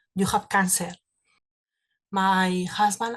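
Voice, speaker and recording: Speaking at a fairly slow pace, a woman with a Spanish accent holds a medium pitch. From Spain. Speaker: cancer survivor. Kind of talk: testimony. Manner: halting.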